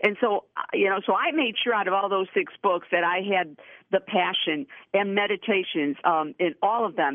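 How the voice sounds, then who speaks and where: A woman's normal speaking voice, medium in pitch, with ordinary pitch variation and a moderate pace. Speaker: author. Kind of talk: interview.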